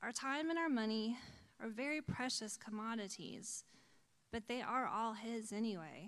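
The voice is a normal speaking voice, moving at a moderate speed. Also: woman, fairly high pitch for a woman, ordinary pitch variation. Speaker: church board member and volunteer. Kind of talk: testimony. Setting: church.

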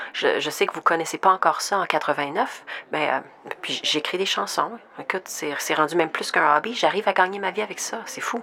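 A woman talks fairly quickly, her medium pitch showing ordinary variation, while noticeable background noise plays behind her. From Saskatchewan, Saskatoon. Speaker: podcast host and producer. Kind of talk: scripted narration; staged radio interview skit.

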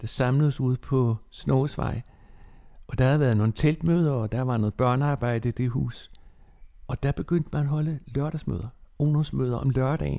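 A man talks fairly slowly at a medium pitch. His tone is dark and mellow, with ordinary pitch variation. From Bornholm (Nexø). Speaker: former church youth secretary and preacher. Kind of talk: life-story interview.

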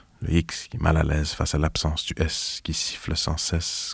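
A man speaks at a moderate pace in a very deep, low, somewhat breathy voice. His intonation is monotone and flat. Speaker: writer and performer. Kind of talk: reading aloud. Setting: studio.

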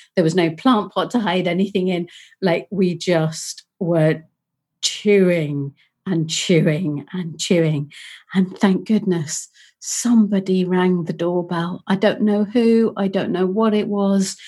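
A woman's very slow, somewhat breathy voice with a Yorkshire accent, dark and mellow in tone, against a quiet background. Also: medium pitch for a woman, ordinary pitch variation. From northern England (Leeds, Yorkshire). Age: 50s. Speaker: podcast co-host. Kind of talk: casual chat.

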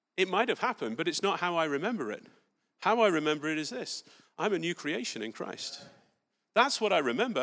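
In a very clean recording with a silent background, a man with an English accent talks at a very fast pace in a high pitch, his tone bright and sharp, his pitch swinging very widely, with long, frequent pauses. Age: 40s. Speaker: preacher. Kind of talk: sermon. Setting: church.

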